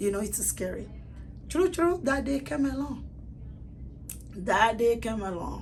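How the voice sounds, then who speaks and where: Fairly slow speech from a woman, audible room echo around her. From Togo, West Africa. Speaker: salon owner, refugee. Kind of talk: personal testimony.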